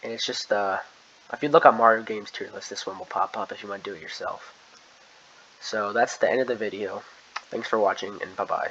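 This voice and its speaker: Loudness swings widely as a man talks at a fairly quick pace, broken by long, frequent pauses. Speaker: gaming youtuber. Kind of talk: casual commentary. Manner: fast.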